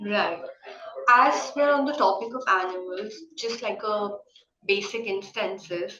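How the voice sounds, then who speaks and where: At a fairly slow pace with long, frequent pauses, the voice shows ordinary pitch variation amid audible room echo. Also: woman, medium pitch for a woman. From India. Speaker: panel moderator. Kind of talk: panel discussion. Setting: literature festival panel.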